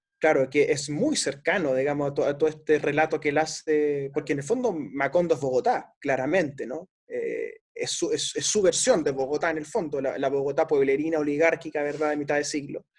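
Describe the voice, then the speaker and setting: A man speaks in an unremarkable speaking voice, fairly high in pitch with ordinary pitch variation. He keeps a fairly quick pace with hardly any pauses. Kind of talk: book discussion interview.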